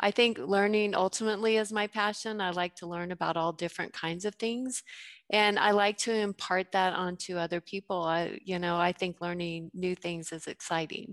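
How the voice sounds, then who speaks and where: A woman with an American accent speaks at medium pitch and a moderate pace, with fairly even intonation. It is a normal speaking voice over a quiet background. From Colorado, US. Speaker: entrepreneur and former teacher. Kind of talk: interview.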